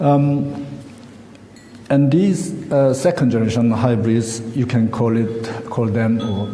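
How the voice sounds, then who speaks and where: Noticeable background noise and audible room echo surround a man with a Korean accent. He talks at a very slow pace and medium pitch, with lively intonation. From South Korea. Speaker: academic researcher and conference speaker. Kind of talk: conference presentation read from script. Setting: conference hall with audience. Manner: halting, with many fillers.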